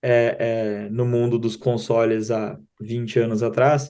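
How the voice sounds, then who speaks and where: At a very slow pace, a man with a Rio Grande do Sul accent speaks in a dark, mellow tone at a medium pitch, his intonation monotone and flat. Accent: southern Brazilian (gaúcho), noticeable. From southern Brazil (Rio Grande do Sul). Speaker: digital marketing company co-founder. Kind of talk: interview. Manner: halting, many fillers and repetitions.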